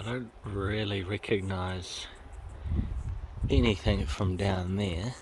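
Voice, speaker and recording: A man with a New Zealand accent mumbles at a very slow pace and a fairly low pitch, his somewhat breathy voice broken by long, frequent pauses. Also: ordinary pitch variation. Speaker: car vlogger. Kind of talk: casual walk-around vlog narration. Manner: mumbling.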